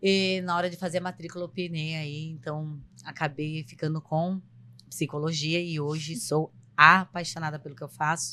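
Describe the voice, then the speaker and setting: A woman speaks fairly slowly in a flat monotone, her very deep, low pitch paired with a bright, sharp tone. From São Paulo coast, Brazil (São Vicente). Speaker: psychologist and podcast co-host. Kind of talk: casual podcast introduction.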